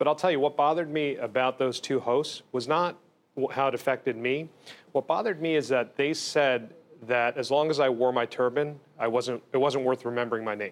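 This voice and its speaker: Here is a man with an unremarkable speaking voice and an American accent, at a medium pitch. He talks at a fairly quick pace with fairly even intonation. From New Jersey (Bergen and Essex). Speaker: state attorney general. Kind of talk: TV interview. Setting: studio.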